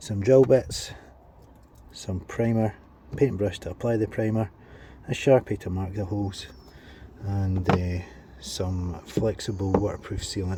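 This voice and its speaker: With long, frequent pauses, a man talks at a fairly slow pace in a fairly low pitch with fairly even intonation. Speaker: delivery driver and van-conversion vlogger. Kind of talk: DIY tutorial vlog. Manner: casual, hesitant with fillers.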